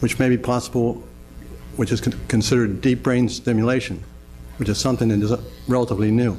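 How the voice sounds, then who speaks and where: Over music in the background, a man talks at a very fast pace with long, frequent pauses. His medium pitch, monotone, flat intonation and very even loudness hold throughout. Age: 60s. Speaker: Parkinson's patient testifying at hearing. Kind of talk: public testimony. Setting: legislative committee hearing room. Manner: halting, with repeated words and stumbles.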